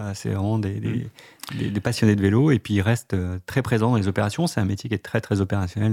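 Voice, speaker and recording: At a fairly quick pace, a man speaks with a fairly low pitch, a dark, mellow tone and ordinary pitch variation. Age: 30s. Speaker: bike-sharing marketing manager. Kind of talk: radio interview.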